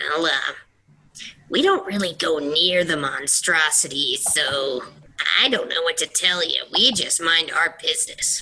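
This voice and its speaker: Someone puts on a character voice at a middle pitch, going at a fairly slow pace. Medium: actual play. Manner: hesitant, stammering.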